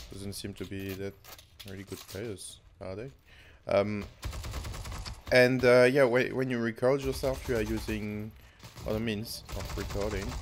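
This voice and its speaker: Speaking with a French accent at a fairly low pitch, a man takes long, frequent pauses, his pitch varies in an ordinary way, and his loudness swings widely. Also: fairly slow pace. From France. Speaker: gaming YouTuber. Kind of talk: live gameplay commentary. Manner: halting.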